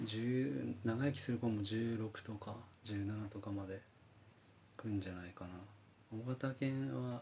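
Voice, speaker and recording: Very slowly and with long, frequent pauses, a man speaks in a dark, mellow, somewhat breathy voice at a fairly low pitch with ordinary pitch variation. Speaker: podcast co-host and band musician. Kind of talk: casual chat.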